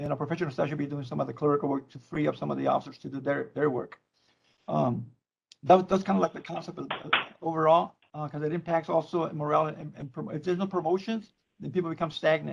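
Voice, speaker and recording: Somewhat breathy and very fast, a man with a Spanish accent speaks in a fairly high pitch with ordinary pitch variation and big swings in loudness. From Mexico, Tijuana. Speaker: probation department leader. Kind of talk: public meeting remarks. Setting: virtual meeting. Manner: halting.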